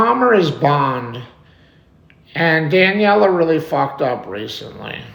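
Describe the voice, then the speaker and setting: A man with an American accent speaks very slowly and loudly, his fairly high pitch swinging very widely. Noticeable background noise and audible room echo fill the recording. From New York. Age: 40s. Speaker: live streamer. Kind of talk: live stream chat. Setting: home live stream.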